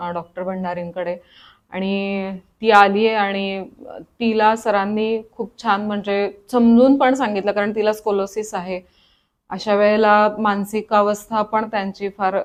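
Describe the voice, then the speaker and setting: A woman speaks at a medium pitch. Her intonation stays flat and monotone. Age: 40s. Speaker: patient. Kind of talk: testimony.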